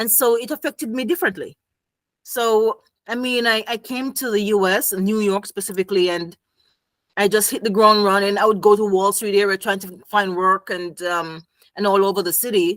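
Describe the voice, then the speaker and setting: Delivered with a Jamaican accent at a moderate pace, the voice shows ordinary pitch variation and has a dry, close sound with no echo. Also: woman, medium pitch for a woman. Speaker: psychology professional, game designer. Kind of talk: casual interview chat.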